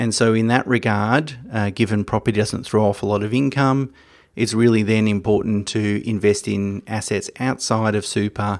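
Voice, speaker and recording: Someone with an Australian accent speaks at a moderate pace and a fairly even intonation. The recording is very clean, with a silent background. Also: man. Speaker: financial podcast host. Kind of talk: solo educational talk. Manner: hesitant with fillers.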